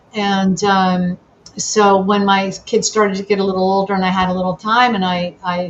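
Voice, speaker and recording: Over noticeable background noise, a woman with an American accent speaks at a medium pitch in monotone, flat intonation. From New Jersey, Sussex County. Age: 60s. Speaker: political candidate. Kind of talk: interview. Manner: halting.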